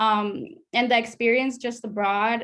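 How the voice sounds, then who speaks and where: A woman with a fairly high pitch speaks in a Spanish accent. The recording is very clean, with a silent background. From Latin America, moved to US at about seven. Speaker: study abroad alumna. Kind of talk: panel discussion.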